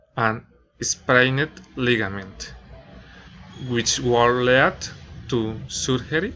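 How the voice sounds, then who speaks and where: Speaking at a very slow pace with a Spanish accent, this man has a medium pitch and ordinary pitch variation. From Colombia, Bogotá. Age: 20s. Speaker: student and nursing assistant. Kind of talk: class presentation, reading prepared text. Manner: halting, non-fluent English.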